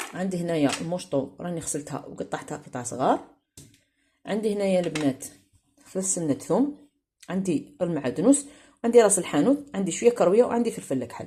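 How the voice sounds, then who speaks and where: A woman with an Algerian accent, fairly quick and somewhat breathy, her fairly low voice dark and mellow, with very wide pitch swings and big swings in loudness. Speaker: cooking video host. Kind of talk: cooking tutorial. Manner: casual.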